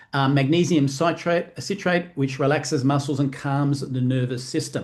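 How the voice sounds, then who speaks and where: Against a quiet background, a man with an Australian accent speaks in a fairly high, somewhat breathy voice. His intonation is fairly even and his loudness very even. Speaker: network marketing presenter. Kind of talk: sales presentation. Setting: live online stream. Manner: fast.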